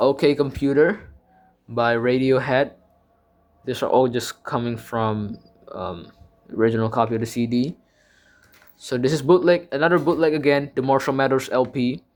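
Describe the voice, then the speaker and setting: A man with an Indonesian accent, a medium pitch, a moderate pace and long, frequent pauses. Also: ordinary pitch variation. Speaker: music YouTuber. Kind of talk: casual collection show-and-tell. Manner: halting, many fillers and self-corrections.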